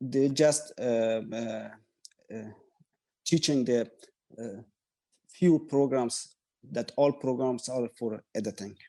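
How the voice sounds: A man at medium pitch with a dark, mellow tone, a slow pace and long, frequent pauses. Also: ordinary pitch variation.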